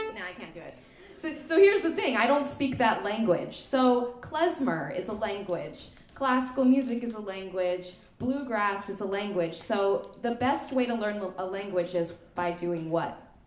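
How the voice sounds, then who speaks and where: A woman speaks with lively intonation and big swings in loudness. Audible room echo and noticeable background noise surround her. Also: fairly high pitch for a woman, moderate pace. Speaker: klezmer musician leading a workshop. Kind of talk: music workshop instruction. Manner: casual, animated.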